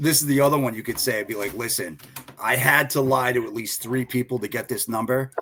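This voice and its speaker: There is noticeable background noise behind this man with a Boston accent. He talks at a fairly quick pace. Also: medium pitch for a man, fairly even intonation. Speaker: freight broker agent. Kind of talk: podcast panel chat.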